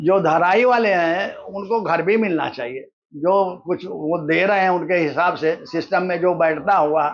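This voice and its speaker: A man speaks at a high pitch. His pitch varies an ordinary amount. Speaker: slum resident. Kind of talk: interview.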